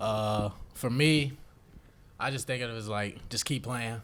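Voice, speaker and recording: A man keeps a moderate pace and fairly even intonation. The room adds audible echo to his voice. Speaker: college basketball player. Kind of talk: press conference.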